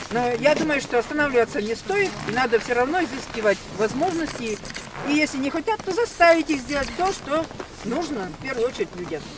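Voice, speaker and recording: Talking at a fairly quick pace, a woman with a high pitch is heard in a dry sound with no echo, over noticeable background noise. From Russia. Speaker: local resident activist. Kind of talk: public meeting speech. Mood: earnest, mildly indignant. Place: street. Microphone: camera far.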